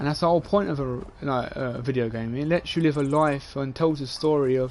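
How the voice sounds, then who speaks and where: With a London accent, a man speaks at a moderate pace and fairly high pitch, showing ordinary pitch variation. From England, London (Dagenham). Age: 20s. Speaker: gaming streamer. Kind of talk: casual live-stream monologue. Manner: rambling, repetitive.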